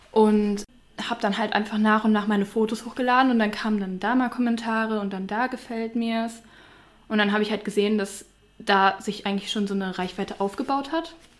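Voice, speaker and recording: Her pace is fairly quick and her intonation fairly even. This woman has an unremarkable speaking voice set at a fairly high pitch. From Mönchengladbach, Lower Rhine, Germany. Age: 20s. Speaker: influencer. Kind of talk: casual interview chat.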